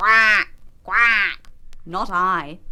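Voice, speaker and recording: This put-on character voice stays at a middle pitch. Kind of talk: children's television storytelling. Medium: read story.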